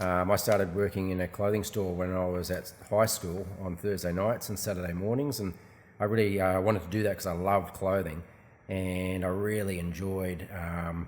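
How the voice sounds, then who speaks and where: At a moderate pace, a man speaks in a very deep, low pitch with monotone, flat intonation. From Australia. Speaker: shop owner. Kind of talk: casual interview. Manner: hesitant, many fillers.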